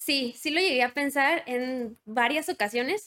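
A woman speaks with a bright, sharp tone at a high pitch. Her pitch rises and falls in an ordinary way. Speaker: biomedical electronics engineer. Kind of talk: interview.

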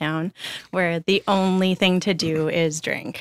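In a Canadian Prairie accent, a woman speaks with ordinary pitch variation, in a very clean, dry, close recording with a silent background and no echo. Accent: Canadian (prairies). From Alberta, Canada. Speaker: recovering alcoholic, pub worker. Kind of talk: testimony. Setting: studio.

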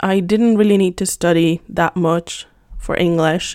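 A woman with a Spanish accent talks in a relaxed tone at medium pitch with fairly even intonation, on a very clean recording with a silent background. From Spain, Madrid. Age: 20s. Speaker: podcaster and teacher. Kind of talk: casual monologue. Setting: home, on a couch. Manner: relaxed, unscripted.

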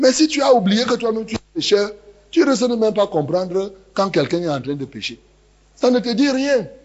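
Noticeable background noise sits behind a man with a high pitch. He speaks at a moderate pace with very wide pitch swings. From Cameroon, rural village near Yaoundé. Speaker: pastor. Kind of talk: sermon. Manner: animated.

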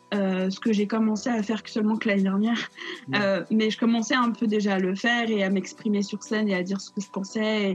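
A woman speaks at a fairly quick pace at a medium pitch. Her intonation is fairly even, with noticeable background noise behind her. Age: 20s. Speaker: theatre student and director. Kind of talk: casual interview. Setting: video call.

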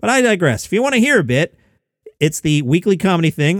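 A man with a high pitch speaks in very wide pitch swings. The recording is very clean with a silent background and a dry, close sound with no echo. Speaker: comedy news podcast host. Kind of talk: news-style comedy monologue. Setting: home basement.

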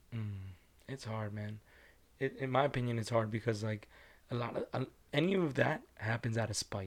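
On a very clean recording with a silent background, a man at medium pitch with ordinary pitch variation speaks with long, frequent pauses. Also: moderate pace. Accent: non-native. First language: not English. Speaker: podcast co-host. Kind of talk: casual chat.

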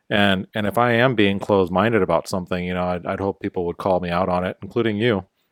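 A man's fairly low, very fast voice with an American accent, fairly even intonation and hardly any pauses, in a very clean, dry, close recording with no echo and a silent background. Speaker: podcast co-host. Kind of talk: casual chat. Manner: laid-back, joking.

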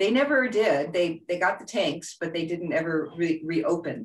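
A woman with a plain, everyday voice, fairly low in pitch, at a fairly slow pace. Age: 60s. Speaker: float tank business owner. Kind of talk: interview.

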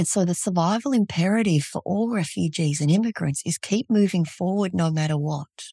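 A woman with an Australian accent speaks fairly quickly in a fairly low, somewhat breathy voice with a dark, mellow tone and ordinary pitch variation, the sound dry and close with no echo. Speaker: trauma therapist. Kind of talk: interview.

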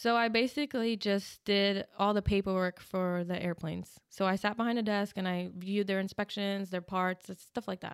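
An unremarkable speaking voice moves at a moderate pace with hardly any pauses and fairly even intonation. The recording is very clean, with a silent background. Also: woman, medium pitch for a woman. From New Jersey. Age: 20s. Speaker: Marine Corps veteran. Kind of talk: interview.

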